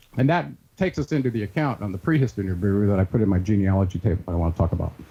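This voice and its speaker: Very fast and lively, a man speaks in a fairly low, somewhat breathy voice with a dark, mellow tone and very even loudness. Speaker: researcher and author. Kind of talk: interview.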